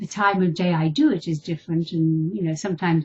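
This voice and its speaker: A woman talks at a fairly quick pace in a fairly low pitch. Her voice is somewhat breathy. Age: 60s. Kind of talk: video blog talk to camera.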